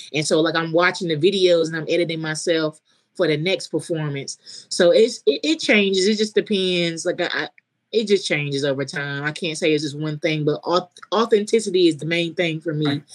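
Speaking in a North Carolina accent, a woman moves at a fairly quick pace. Her pitch is fairly low, with ordinary variation. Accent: US South, North Carolina. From coastal North Carolina. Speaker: comedian. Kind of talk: casual chat.

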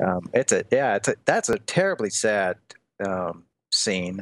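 A man with a Midwestern American accent talks at a moderate pace in a fairly low voice with lively intonation, pausing long and often. The sound is dry and close with no echo, over a quiet background. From US Midwest, Des Moines, Iowa. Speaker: college teacher and author. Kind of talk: casual chat.

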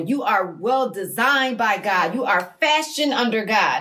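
A woman speaks with lively intonation in a fairly high voice. Noticeable background noise runs under her. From Massachusetts, US. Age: 50s. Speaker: mother, guest.

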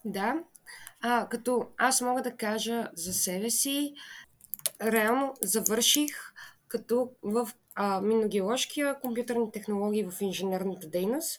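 A woman with a fairly high pitch speaks at a very slow pace with ordinary pitch variation. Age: 20s. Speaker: podcast co-host, QA engineer. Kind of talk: casual chat.

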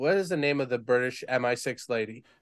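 A man with an ordinary speaking voice, medium pitch and moderate pace, against a quiet background. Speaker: podcast co-host. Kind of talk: casual chat. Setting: live stream.

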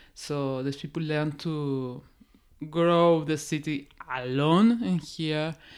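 A Peruvian accent at a very slow pace, with ordinary pitch variation, on a very clean recording with a silent background. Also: woman, very deep, low pitch for a woman. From Peru, Oxapampa region. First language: Spanish. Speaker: forest scientist. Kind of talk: casual interview.

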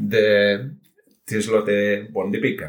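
With a British accent, a man is talking. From United Kingdom. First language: English (speaking Spanish). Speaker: software engineer and amateur cook. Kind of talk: interview. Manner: halting.

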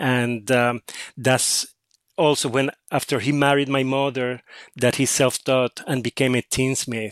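Speaking at a very slow pace in a Spanish accent, a man keeps a monotone, flat intonation. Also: dry, close sound with no echo. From Puerto Rico. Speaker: author. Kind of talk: interview. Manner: halting.

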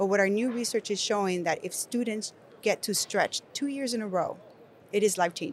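A woman with a Spanish accent talks at a medium pitch with lively intonation. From Nicaragua. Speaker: education company executive. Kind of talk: conversational panel discussion. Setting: recorded at an education conference.

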